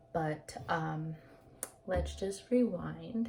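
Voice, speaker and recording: A woman with a fairly low pitch talks in a somewhat breathy voice. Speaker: vlogger sharing personal experience. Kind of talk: casual personal vlog. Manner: slow; hesitant, many fillers.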